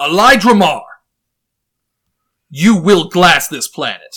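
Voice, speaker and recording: A man uses a put-on character voice at a high pitch. He speaks at a fairly slow pace. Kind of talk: formal, regal. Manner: commanding, authoritative.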